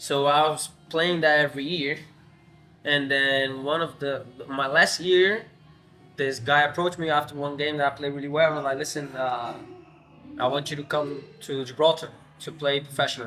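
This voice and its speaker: Music plays in the background as a man speaks at a moderate pace in a fairly high, monotone voice. His flat delivery comes with long, frequent pauses. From Brazil, São Paulo. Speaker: professional footballer. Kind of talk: podcast interview.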